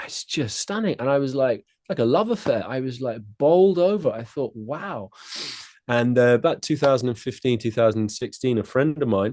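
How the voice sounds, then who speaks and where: The pace is moderate. The intonation is lively. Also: man, medium pitch for a man. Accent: southern English. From southeast England (Kent), summers in west of Ireland. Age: 40s. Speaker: tai chi and qigong teacher. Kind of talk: podcast interview.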